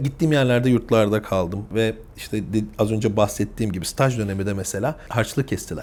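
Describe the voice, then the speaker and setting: An ordinary speaking voice, a man with fairly low pitch, ordinary pitch variation and a fairly quick pace. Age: 30s. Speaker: family business executive. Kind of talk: interview.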